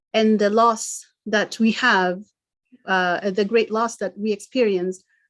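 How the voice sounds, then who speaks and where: A woman with a Kenyan accent speaks in monotone, flat intonation. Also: quiet background. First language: Gikuyu. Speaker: event presenter. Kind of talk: online talk presentation. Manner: halting.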